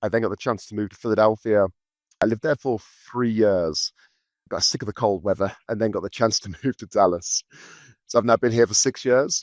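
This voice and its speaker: A man with a Birmingham accent speaks at a fairly quick pace in a fairly low pitch, with ordinary pitch variation. His long pauses come often, and the sound is dry and close with no echo. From England, Birmingham. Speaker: recruitment business founder. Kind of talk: podcast interview.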